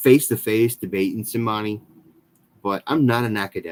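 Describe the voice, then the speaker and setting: A man mumbles at a medium pitch with ordinary pitch variation. The sound is dry and close, with no echo. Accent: American. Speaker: skateboarding youtuber. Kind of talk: live stream chat. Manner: halting, many fillers; mumbling.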